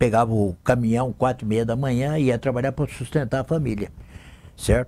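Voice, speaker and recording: A man with a dark, mellow tone speaks at medium pitch and a moderate pace, with ordinary pitch variation. The recording is very clean, with a silent background. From Brazil, interior of São Paulo state (Lins). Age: 70s. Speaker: city councillor and radio broadcaster. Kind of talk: interview, life story. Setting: TV studio.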